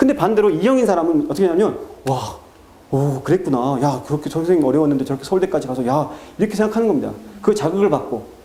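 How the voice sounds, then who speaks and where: Noticeable background noise fills the clip. Over it, a man speaks at a very fast pace in a fairly high pitch with lively intonation. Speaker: math academy director. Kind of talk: parent information talk. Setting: seminar with parents.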